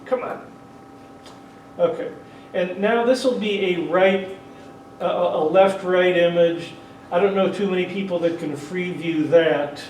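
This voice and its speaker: Amid noticeable background noise and audible room echo, a man with a high pitch speaks loudly at a fairly slow pace, with ordinary pitch variation and long, frequent pauses. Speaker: 3D photography workshop presenter. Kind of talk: workshop tutorial with live demonstration. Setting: convention workshop room with audience; PA system. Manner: casual, with frequent hesitations.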